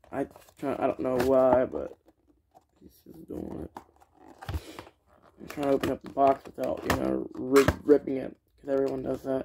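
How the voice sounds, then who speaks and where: Over noticeable background noise, the speech unfolds at a moderate pace. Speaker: toy reviewer. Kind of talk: casual unboxing review chat. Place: home room. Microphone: phone near.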